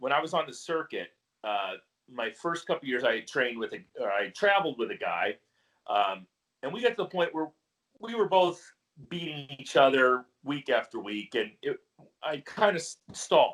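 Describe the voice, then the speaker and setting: At a moderate pace, a man talks in a fairly high pitch with vocal fry, very wide pitch swings and long, frequent pauses. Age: 40s. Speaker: retired Highland Games athlete. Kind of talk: casual chat.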